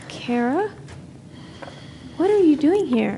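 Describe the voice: A woman puts on a character voice, high-pitched yet dark and mellow in tone, speaking slowly with big swings in pitch.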